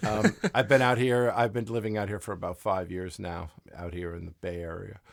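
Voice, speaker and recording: With a New York accent, a man speaks at a fairly low pitch, his loudness swinging widely while his pitch varies in an ordinary way. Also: fairly quick pace, very clean recording, silent background. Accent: New York accent (jokingly called Southern). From US Northeast, Long Island, New York. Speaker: racing crew chief. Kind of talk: casual interview chat. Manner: many fillers and false starts.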